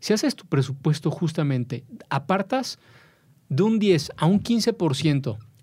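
A man with a Mexican accent speaks at a fairly high pitch with lively intonation. The recording is very clean, with a silent background. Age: 40s. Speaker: personal finance expert. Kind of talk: interview.

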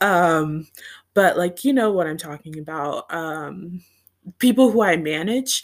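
A plain, everyday voice, a woman's, fairly low in pitch and fairly slow. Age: 20s. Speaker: podcaster and grad student. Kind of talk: casual monologue. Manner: giggly, frequent laughter.

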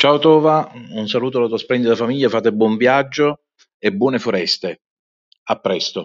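A man with a medium pitch and lively intonation keeps a moderate pace, broken by long, frequent pauses. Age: 50s. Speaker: accountant. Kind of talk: voice message. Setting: outdoors, walking.

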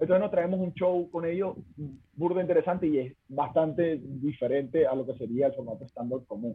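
A man talks at a fairly quick pace in a fairly high voice with ordinary pitch variation. He has a plain, everyday voice. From Venezuela. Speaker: stand-up comedian. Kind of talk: casual chat.

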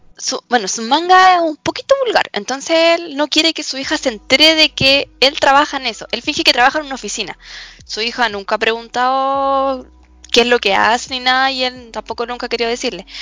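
Music plays behind a woman speaking in a high pitch at a fairly quick pace. Her tone is animated, with ordinary pitch variation. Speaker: student podcast co-host. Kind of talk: casual chat about anime and series. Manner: animated, laughing often.

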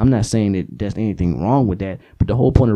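This is a man with a dark, mellow tone. His pitch varies in an ordinary way. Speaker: comedian and podcast host. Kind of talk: casual comedic monologue. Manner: animated, energetic.

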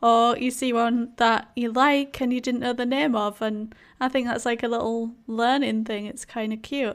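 A woman with a strong Yorkshire accent speaks at a fairly high pitch on a very clean recording with a silent background. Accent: thick Yorkshire English. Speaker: podcast co-host, Sims video creator. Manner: chatty, casual.

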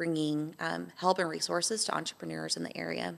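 Over a silent background on a very clean recording, a woman speaks with an American accent. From Texas, Amarillo. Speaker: baker and small business owner. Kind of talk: interview conversation.

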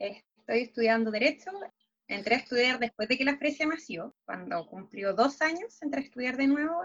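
An ordinary speaking voice from a woman, fairly high in pitch, with lively intonation at a moderate pace. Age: 20s. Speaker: law student and dancer. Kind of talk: casual interview.

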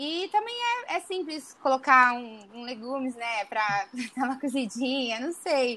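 A woman with a high pitch projects a raised voice at a fairly slow pace. Her intonation is lively, and her loudness swings widely. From Brazil, interior of São Paulo state (Araçatuba). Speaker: medical student. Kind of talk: casual interview.

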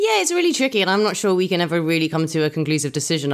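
A voice with an English accent comes through on a very clean recording with a silent background. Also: woman. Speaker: burlesque performer and host. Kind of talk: casual chat. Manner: animated.

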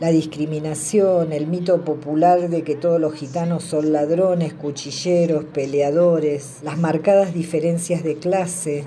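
Speaking at a fairly slow pace with hardly any pauses, a woman with a very deep, low pitch uses a monotone, flat intonation amid noticeable background noise and audible room echo. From southern Greater Buenos Aires, Argentina. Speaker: film viewer contributor. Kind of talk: recorded voice message review.

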